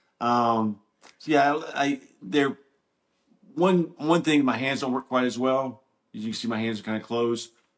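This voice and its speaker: At a moderate pace, a man speaks in a medium pitch with ordinary pitch variation. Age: 60s. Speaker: wheelchair user. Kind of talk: casual interview.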